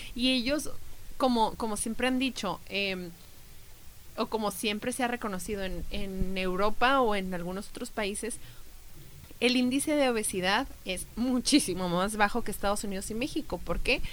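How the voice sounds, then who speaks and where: A woman has a normal speaking voice, fairly high in pitch with ordinary pitch variation. She keeps a moderate pace. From Mexico. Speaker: travel podcast co-host. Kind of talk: casual chat.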